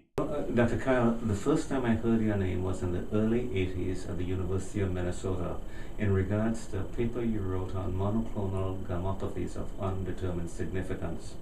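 Over noticeable background noise, a man speaks fairly quickly with fairly even intonation. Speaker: journal editor hosting interview. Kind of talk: formal interview introduction. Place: office.

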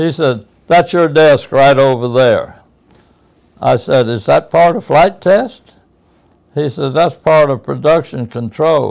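The man's speech moves along at a very slow pace. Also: quiet background. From Chattanooga, Tennessee; Tennessee. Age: 80s+. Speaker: war veteran; military pilot. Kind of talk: interview answer. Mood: animated, wry humor. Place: home room. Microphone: lapel.

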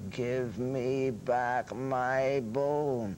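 A man's put-on character voice at medium pitch, with clear background noise. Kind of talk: storytelling.

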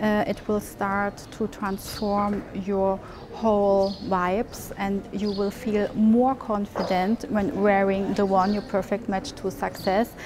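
A woman speaks at a very slow pace in a monotone, flat intonation. Noticeable background noise runs under her voice. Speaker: travel vlogger. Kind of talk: sponsored product presentation. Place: street. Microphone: lapel.

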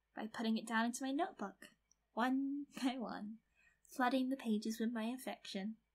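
A woman's fairly high, somewhat breathy voice carries a playful tone. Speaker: ASMR creator. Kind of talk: asmr roleplay. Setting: close-mic, one-to-one roleplay in a bedroom. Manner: soft, playful, teasing, giggly; intimate, slightly possessive yandere act.

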